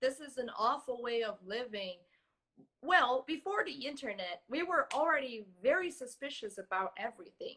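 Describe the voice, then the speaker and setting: A woman's high, raised and projected voice with a bright, sharp tone, very wide pitch swings, and a moderate pace. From Brazil. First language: Portuguese. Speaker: social engineering security expert. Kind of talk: interview.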